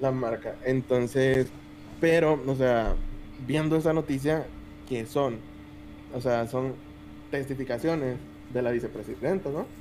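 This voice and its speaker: The speech moves at a fairly slow pace with long, frequent pauses and fairly even intonation, over noticeable background noise. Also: man, medium pitch for a man. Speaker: podcast co-host. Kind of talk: casual chat. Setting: live stream.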